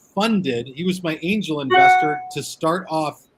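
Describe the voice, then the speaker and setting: The voice belongs to a man and is somewhat breathy. He keeps a moderate pace. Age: 40s. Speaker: cigar media owner. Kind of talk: casual interview chat.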